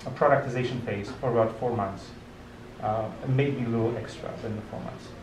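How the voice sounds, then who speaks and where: A man at a moderate pace with fairly even intonation, audible room echo and noticeable background noise. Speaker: tech meetup speaker, research team lead. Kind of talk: conference talk with audience questions. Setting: restaurant meetup with audience. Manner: hesitant, many fillers and restarts.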